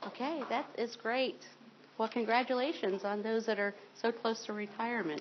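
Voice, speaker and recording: A woman's fairly high voice with an American accent and ordinary pitch variation. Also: moderate pace. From Ohio, rural farm. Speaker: state retirement system representative. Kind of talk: informational seminar presentation.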